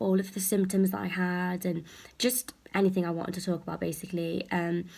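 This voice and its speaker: A woman at medium pitch, somewhat breathy, with fairly even intonation and a fairly quick pace. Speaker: health anxiety vlogger. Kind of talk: casual vlog talk. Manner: soft-spoken; hesitant with many fillers.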